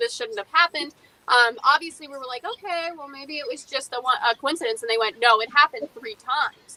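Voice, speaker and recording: A woman talks in a raised, projected voice, high in pitch, at a fairly quick pace with hardly any pauses. Her loudness swings a lot, and the sound is dry and close with no echo. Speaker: paranormal investigator and museum curator. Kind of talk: interview. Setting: live stream. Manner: fast.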